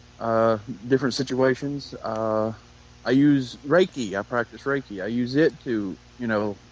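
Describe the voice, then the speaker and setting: A man speaks with a Southern US accent at medium pitch. His pace is fairly slow, with ordinary pitch variation. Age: young. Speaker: paranormal investigator. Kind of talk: casual interview.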